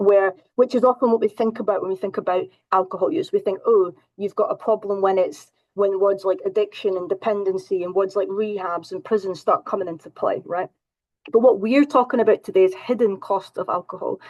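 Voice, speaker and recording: Speaking fairly quickly with a Scottish accent, a woman uses ordinary pitch variation. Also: medium pitch for a woman. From Scotland. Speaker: counselling psychologist. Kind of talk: presentation.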